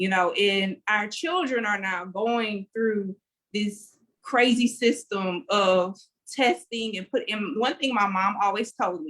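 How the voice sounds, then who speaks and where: A woman in a Louisiana accent, very slow, fairly high in pitch, with ordinary pitch variation. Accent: US Southern (Louisiana). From Louisiana, Lake Charles. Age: 30s. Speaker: education activist. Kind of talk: panel discussion. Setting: video call.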